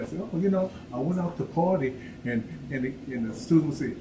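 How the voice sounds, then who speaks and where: Fairly quick male speech with audible room echo and noticeable background noise. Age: 70s. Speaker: workshop speaker. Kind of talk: personal talk to audience.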